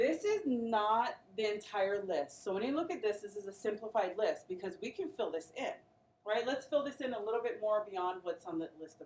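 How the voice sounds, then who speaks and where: In an unremarkable speaking voice, a woman with a fairly high pitch talks at a moderate pace with lively intonation. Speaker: nursing pharmacology instructor. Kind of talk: classroom lecture. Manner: interactive call-and-response questioning.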